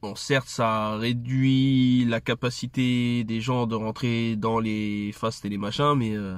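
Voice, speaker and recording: A man's flat, monotone voice, dry with no echo. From France. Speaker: video creator and commentator. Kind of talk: angry rant about curfew; casual monologue to camera. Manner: sarcastic, indignant, fast and heated. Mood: annoyed, critical. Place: car. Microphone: phone near.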